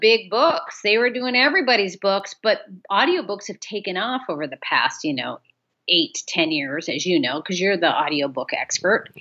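A woman's voice with an Upper Midwest accent, vocal fry, very wide pitch swings and a moderate pace. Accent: Upper Midwest American. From US Midwest, northern Michigan. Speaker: author and audiobook narrator. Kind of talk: casual chat. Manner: animated.

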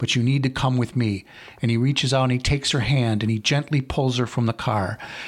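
What we hear is plain reading aloud.

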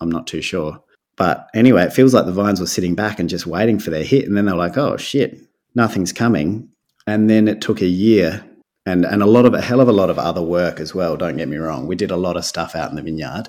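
Recorded very cleanly against a silent background, a man with an Australian accent talks at a very fast pace in a very deep, low voice with ordinary pitch variation. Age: 30s. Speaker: winemaker. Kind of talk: casual chat.

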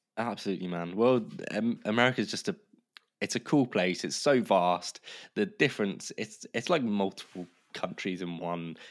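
With a southern English accent, a man speaks with a fairly low voice, ordinary pitch variation and a moderate pace, in a very clean recording with a silent background. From southern England, Kent (Canterbury). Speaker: podcast production business founder. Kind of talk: casual chat.

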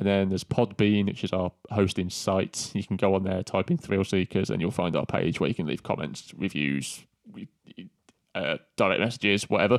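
Spoken with an English accent at a moderate pace and ordinary pitch variation, the recording is very clean with a silent background and a dry, close sound with no echo. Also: man, very deep, low pitch for a man. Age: 30s. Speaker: movie podcast co-host. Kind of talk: casual chat.

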